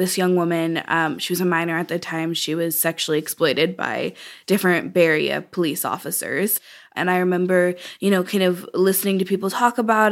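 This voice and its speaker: Speaking in an American accent at a fairly quick pace, a woman keeps a medium pitch and fairly even intonation on a very clean recording with a silent background. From Oakland, California. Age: 20s. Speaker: novelist. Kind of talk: interview.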